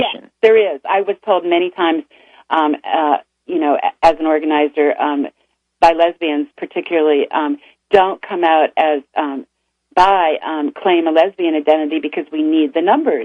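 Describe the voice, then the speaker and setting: A woman with a plain, everyday voice, fairly low in pitch, at a moderate pace with ordinary pitch variation. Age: 60s. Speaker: author and bisexual activist. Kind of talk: radio interview. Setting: radio studio.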